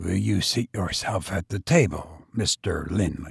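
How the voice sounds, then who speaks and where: This man puts on a raspy character voice with a very deep, low pitch. His pace is fairly slow. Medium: read story. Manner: dry, businesslike, indifferent.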